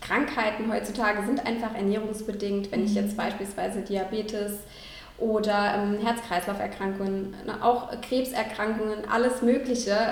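A woman talks at a moderate pace in a fairly high, monotone voice with flat intonation, with noticeable background noise and audible room echo. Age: 30s. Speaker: vegan nutrition consultant. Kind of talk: interview.

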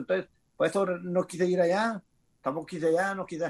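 A man's high-pitched voice at a very fast pace with fairly even intonation. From Mexicali, Baja California, Mexico. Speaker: retired boxer. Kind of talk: casual interview, life story. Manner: halting, repetitive.

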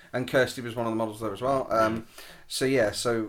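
A man speaks fairly quickly in a monotone, flat intonation. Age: 30s. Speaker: portrait photographer. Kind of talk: casual chat.

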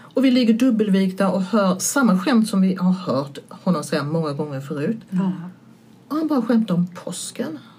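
A woman speaks at a medium pitch and moderate pace with very wide pitch swings. Noticeable background noise runs underneath. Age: 60s. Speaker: stand-up comedian. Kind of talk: casual chat.

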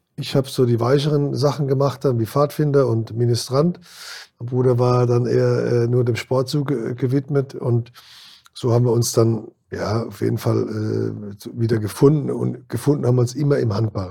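A man speaks at a moderate pace and a medium pitch. His tone is dark and mellow, somewhat breathy, with fairly even intonation. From Kurpfalz region, Germany. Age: 60s. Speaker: former handball player and band manager. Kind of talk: interview. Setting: studio.

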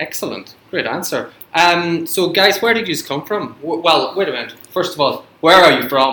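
Speaking at a moderate pace with hardly any pauses, a man uses a high pitch. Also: ordinary pitch variation. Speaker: school radio host. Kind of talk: casual chat. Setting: studio. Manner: joking, teasing.

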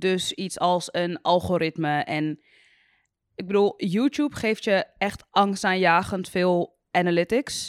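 A woman of medium pitch speaks very slowly with ordinary pitch variation, in a very clean, silent, dry and close recording with no echo. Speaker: YouTuber. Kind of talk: casual chat. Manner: sounds sarcastic even when enthusiastic.

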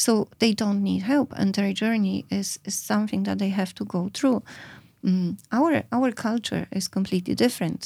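The speaker talks at a moderate pace with a Polish accent. The recording is very clean, with a silent background. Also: woman. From Poland. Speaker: psychedelic therapy practitioner. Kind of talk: interview conversation. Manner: halting.

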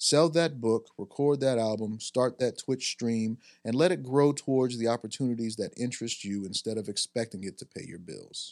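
An ordinary speaking voice at a moderate pace, with hardly any pauses, ordinary pitch variation, and big swings in loudness, in a dry, close sound with no echo on a very clean recording with a silent background. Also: man, medium pitch for a man. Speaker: podcast host. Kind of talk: casual chat. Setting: studio.

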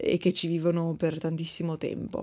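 Speaking at a moderate pace, a woman with a fairly low pitch is heard on a very clean recording against a silent background. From Verona, northern Italy. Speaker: podcast host, bread baker. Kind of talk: casual Q&A monologue. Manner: hesitant, many fillers.

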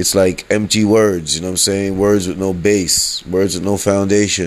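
In a fairly low pitch, a man speaks at a fairly slow pace. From US, rough urban neighborhood. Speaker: podcaster. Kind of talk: monologue rant. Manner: abrasive tone; casual, filler-heavy.

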